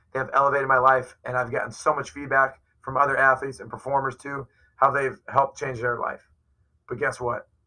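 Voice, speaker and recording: A man speaks at a fairly quick pace in a bright, sharp tone and a medium pitch, his loudness swinging widely. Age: 40s. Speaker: performance coach. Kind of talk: interview. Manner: animated.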